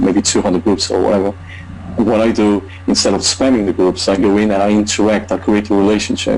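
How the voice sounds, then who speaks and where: Against noticeable background noise, a man speaks fairly quickly in a fairly low, flat monotone. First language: not English. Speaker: online marketer. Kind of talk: testimony. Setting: video call. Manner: halting.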